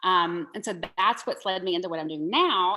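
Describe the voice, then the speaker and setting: A woman at medium pitch with a Southern US accent, a bright, sharp tone and a fairly quick pace. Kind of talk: podcast interview.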